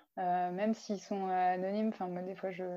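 A woman talks at a moderate pace with fairly even intonation. Her pitch sits in the medium range. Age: 20s. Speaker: paralympic alpine skier. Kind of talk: interview.

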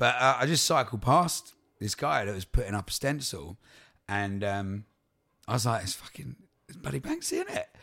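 Bright, sharp tone from a man with an Essex accent, lively intonation, big swings in loudness and long, frequent pauses. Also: medium pitch for a man, moderate pace. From Essex, England. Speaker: touring folk singer-songwriter. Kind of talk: casual interview chat.

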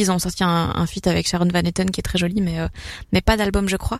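Her medium-pitched voice stays monotone, the intonation flat throughout. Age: young. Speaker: stand-up comedian. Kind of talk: casual chat. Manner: hesitant, many fillers.

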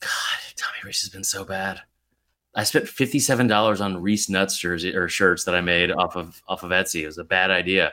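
Very deep, low male voice at a fairly quick pace on a very clean recording with a silent background. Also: ordinary pitch variation. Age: 30s. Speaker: college football podcaster. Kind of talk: casual chat.

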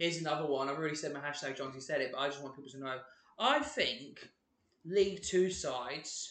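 Speaking in an East Anglian accent, a man talks at a fairly quick pace and a fairly high pitch. His tone is animated, and the room echo is audible. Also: ordinary pitch variation, big swings in loudness. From England (Ipswich, Suffolk). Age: 20s. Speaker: podcast co-host. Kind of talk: casual chat.

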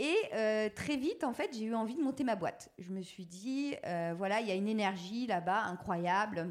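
On a very clean recording with a silent background, a woman with a fairly high pitch speaks at a moderate pace with lively intonation and hardly any pauses. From France, Touraine. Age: 40s. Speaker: entrepreneur. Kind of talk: interview. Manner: hesitant, many fillers.

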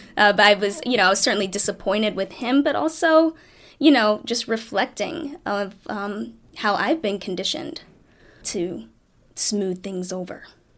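An ordinary speaking voice with lively intonation moves at a moderate pace on a very clean recording with a silent background. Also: woman, medium pitch for a woman. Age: 30s. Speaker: priest. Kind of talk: interview.

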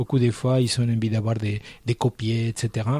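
The voice has a dark, mellow tone. It comes across as somewhat breathy. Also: man. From Argentina. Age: 60s. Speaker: painter. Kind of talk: interview.

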